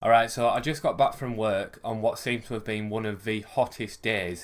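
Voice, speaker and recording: In a very clean recording with a silent background, a man with a West Yorkshire accent speaks at a fairly quick pace and a fairly low pitch. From West Yorkshire, England. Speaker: vlogger. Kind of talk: casual rant vlog. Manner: animated.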